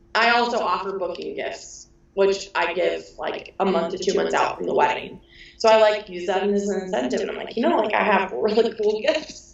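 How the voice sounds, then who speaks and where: The pace is moderate, with ordinary pitch variation. Noticeable background noise sits behind the voice. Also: woman, medium pitch for a woman. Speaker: wedding photographer. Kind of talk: interview. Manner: loud; animated.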